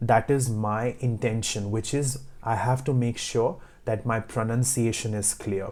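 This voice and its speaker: In a very clean recording with a silent background, a man speaks at medium pitch with a dark, mellow tone. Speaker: IELTS tutor. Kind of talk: tutorial. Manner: clear, not fast.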